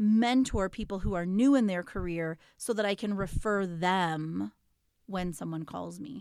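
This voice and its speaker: A woman's medium-pitched, normal speaking voice, with ordinary pitch variation, a fairly slow pace, and a very clean recording against a silent background. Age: 40s. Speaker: podcast co-host and parent coach. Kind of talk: casual chat.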